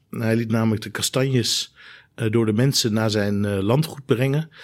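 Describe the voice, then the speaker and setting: A man with an ordinary speaking voice talks at a moderate pace and medium pitch with fairly even intonation on a very clean recording with a silent background. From Netherlands (Rijnsburg, South Holland), moved from Germany at ten. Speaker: trauma surgeon. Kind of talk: expert discussion.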